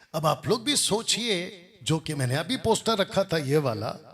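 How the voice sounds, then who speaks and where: A man with a Telangana accent and a fairly high pitch uses very wide pitch swings on a very clean recording with a silent background. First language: Telugu (speaking Hindi). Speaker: Bible teacher. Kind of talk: religious rebuttal commentary. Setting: classroom with Bible college students.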